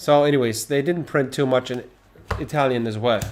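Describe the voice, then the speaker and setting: A man of medium pitch with a non-native accent and ordinary pitch variation. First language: not English. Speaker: trading card game streamer. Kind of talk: casual live stream chat. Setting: live stream. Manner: animated.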